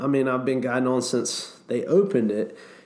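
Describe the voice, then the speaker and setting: A man's fairly even intonation, with audible room echo. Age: 40s. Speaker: whitewater rafting guide. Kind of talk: casual chat.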